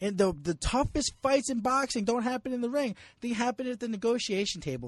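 Extremely high in pitch, a man with a New Jersey accent speaks at a fairly quick pace with lively intonation. The sound is dry and close with no echo, over a quiet background. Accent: New Jersey American. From US Northeast, New Jersey. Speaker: sports journalist. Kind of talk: casual chat.

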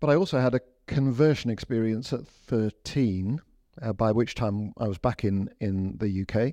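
A man's dark, mellow, medium-pitched voice with ordinary pitch variation, dry and close with no echo, over a quiet background. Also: moderate pace. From England and India. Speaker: bishop. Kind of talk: interview. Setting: studio. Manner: hesitant, many fillers and repetitions.

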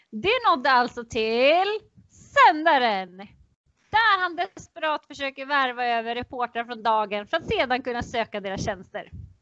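A woman's high voice with very wide pitch swings, at a moderate pace, music in the background. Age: 30s. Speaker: education coordinator. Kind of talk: casual chat.

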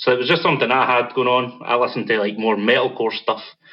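This man speaks in a Scottish accent. His pitch sits in the medium range. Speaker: band vocalist, podcast guest.

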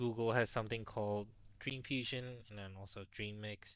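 A normal speaking voice at a moderate pace, fairly even intonation, and a quiet background. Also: man. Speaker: podcast co-host. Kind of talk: casual interview chat.

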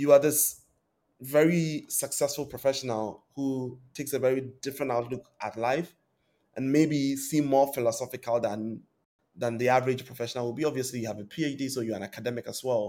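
Speaking at a moderate pace, a man with a medium-pitched voice and dark, mellow tone keeps a fairly even intonation. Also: very clean recording, silent background. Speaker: podcast host. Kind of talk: interview.

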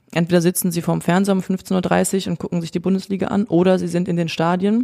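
This woman's pitch is fairly low and her tone dark and mellow. She speaks at a fairly quick pace in a monotone, flat intonation. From Germany, Cologne. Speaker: professional footballer, goalkeeper. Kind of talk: interview.

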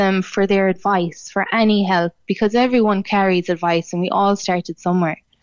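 Her intonation monotone and flat, a woman speaks at a medium pitch. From Ireland, North Cork. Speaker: journalist and singer. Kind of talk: radio interview.

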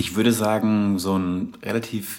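Over noticeable background noise, a man with a slight Hessian accent speaks at a fairly low pitch and a very slow pace. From southern Hesse, Germany (Darmstadt). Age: 30s. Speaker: travel and surf podcast host. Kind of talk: casual storytelling monologue; scripted narration.

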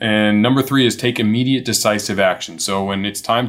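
A very fast-talking man at medium pitch with ordinary pitch variation, over noticeable background noise. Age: 40s. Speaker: entrepreneur. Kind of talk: interview.

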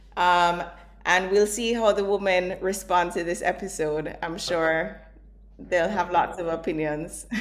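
An ordinary speaking voice from a woman, fairly low in pitch, fairly slow, with fairly even intonation. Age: 30s. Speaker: podcast host and co-founder.

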